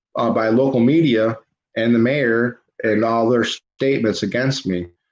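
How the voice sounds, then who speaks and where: This is a plain, everyday voice moving at a fairly slow pace. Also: man. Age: 30s. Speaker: livestream host, local activist. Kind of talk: casual livestream chat. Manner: informal, talks to viewers directly.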